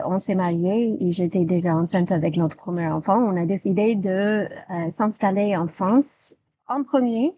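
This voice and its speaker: With a dark, mellow tone and medium pitch, a woman in an American accent speaks at a very slow pace with ordinary pitch variation. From United States. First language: English (speaking French). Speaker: English teacher. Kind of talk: interview. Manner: halting, many hesitations.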